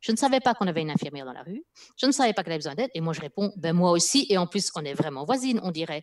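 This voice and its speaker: A woman speaks at a very fast pace with fairly low pitch against a quiet background. Her pitch swings very widely and her loudness swings a lot. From Spain. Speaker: linguist and former corporate EU affairs professional; guest or co-host. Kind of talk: live video interview. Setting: video call. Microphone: headset.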